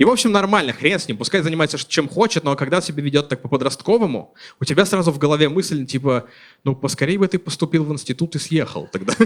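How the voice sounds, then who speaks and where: With lively intonation and a fairly high pitch, a man speaks at a very fast pace. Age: 30s. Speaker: stand-up comedian. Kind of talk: stand-up comedy. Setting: stage with audience.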